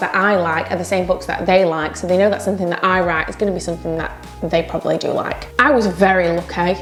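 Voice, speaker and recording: Over noticeable background noise, a woman with a Yorkshire accent talks at a very fast pace in an animated tone. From Yorkshire, northern England. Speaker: self-published author and vlogger. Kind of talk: casual vlog talk to camera.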